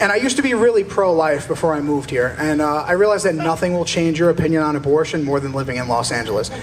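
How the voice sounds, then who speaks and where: A man with an East Coast US accent talks at a very fast pace with hardly any pauses, his fairly high pitch carrying lively intonation. The recording has audible room echo and noticeable background noise. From US East Coast. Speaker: stand-up comedian. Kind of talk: stand-up. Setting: stage with audience.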